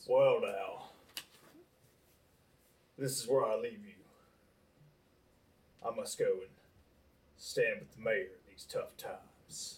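A raspy man in a put-on character voice with a Southern accent talks at a fairly slow pace with long, frequent pauses.

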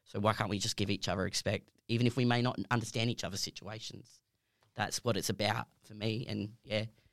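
Speaking fairly quickly with an Australian accent, a man keeps a fairly low pitch and a monotone, flat intonation. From Perth, Western Australia. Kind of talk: casual chat.

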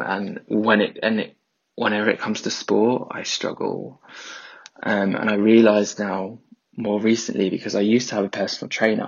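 Speaking in a London accent, a man with a fairly low pitch talks at a fairly quick pace in a monotone, flat intonation. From South East London. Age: 30s. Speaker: listener voice note. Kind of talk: voice note testimony.

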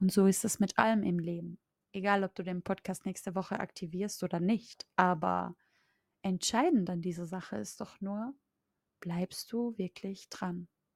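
The recording is very clean, with a silent background. A woman talks in an ordinary speaking voice at a medium pitch and a fairly slow pace, her intonation fairly even. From Austria. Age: 20s. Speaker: mindset coach. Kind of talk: podcast monologue.

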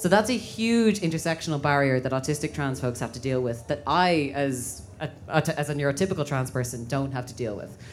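The speaker has an Irish accent and lively intonation. The pace is fairly quick, with hardly any pauses. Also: woman, very deep, low pitch for a woman. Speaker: LGBTQ activist and educator. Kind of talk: panel discussion. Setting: stage with audience.

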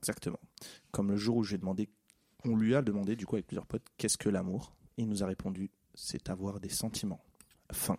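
A man's fairly low-pitched, dark and mellow voice at a fairly quick pace, flat and monotone, broken by long, frequent pauses, in a dry, close sound with no echo. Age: 20s. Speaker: office worker. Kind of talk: casual chat.

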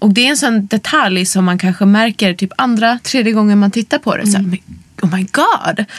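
At a moderate pace, a woman speaks at medium pitch with ordinary pitch variation and very even loudness. The sound is dry and close with no echo, with noticeable background noise. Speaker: podcast host. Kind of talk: casual interview chat. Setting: studio.

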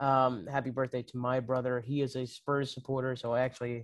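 The speaker is a man with an unremarkable speaking voice, medium pitch and fairly even intonation at a moderate pace. The sound is dry and close, with no echo. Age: 20s. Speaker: soccer podcast co-host. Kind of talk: casual chat.

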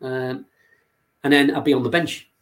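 A man with a Liverpool accent, fairly even intonation and a moderate pace. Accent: Liverpool (Scouse) English. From Liverpool, England. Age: 60s. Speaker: youth football coach. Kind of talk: interview. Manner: halting.

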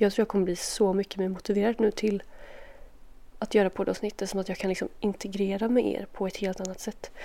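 A woman talks at a fairly quick pace in a calm, dark, mellow tone, her medium pitch held in a monotone, flat intonation. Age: 20s. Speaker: podcast host. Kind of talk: casual Q&A monologue while doing makeup. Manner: soft, calm sleep-oriented talk.

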